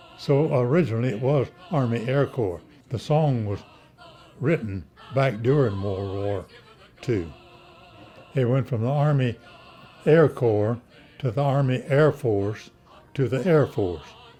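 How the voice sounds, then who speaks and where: Over music in the background, a man with an American accent talks at medium pitch with ordinary pitch variation. His pace is fairly slow, broken by long, frequent pauses. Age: 80s+. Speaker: war veteran. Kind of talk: interview answer.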